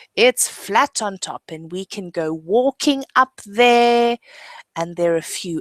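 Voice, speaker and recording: A woman with a South African accent speaks at a fairly slow pace and a fairly high pitch. Her intonation is lively, and the sound is dry and close with no echo. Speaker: English teacher. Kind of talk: online lesson. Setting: video webinar.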